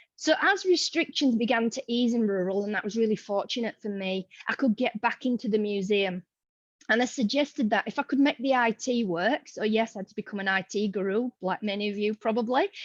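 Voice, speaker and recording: In a Yorkshire accent, a woman speaks fairly quickly at a fairly high pitch, recorded dry and close with no echo. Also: ordinary pitch variation. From Yorkshire, northern England. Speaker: museum educator. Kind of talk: online forum presentation. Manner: casual, chatty.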